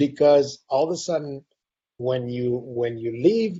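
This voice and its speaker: There is a somewhat breathy quality to this man's speech. His pitch sits in the middle range. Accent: Spanish. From Spain, Madrid. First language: Spanish. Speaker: university president. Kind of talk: casual chat. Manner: halting, many repeated words.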